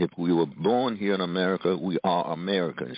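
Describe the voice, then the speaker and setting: There is noticeable background noise. Over it, a man talks with a very deep, low pitch. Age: 80s+. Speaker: author and professor. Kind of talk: interview.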